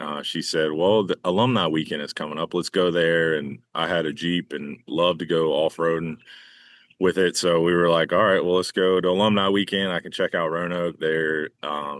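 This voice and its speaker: A man with a Southern US accent and a very deep, low pitch speaks at a moderate pace with fairly even intonation. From North Carolina. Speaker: baseball groundskeeper. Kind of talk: casual interview. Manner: halting, many fillers.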